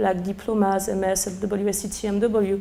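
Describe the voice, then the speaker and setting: A woman speaks with a strong French accent. Audible room echo and noticeable background noise surround her voice. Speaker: sommelier. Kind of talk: lecture. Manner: halting; animated.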